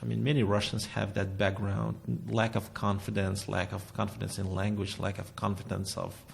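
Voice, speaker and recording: His fairly low voice carries vocal fry. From Russia. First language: Russian. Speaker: painter and art teacher. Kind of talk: interview. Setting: recording venue, arts studio. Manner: halting.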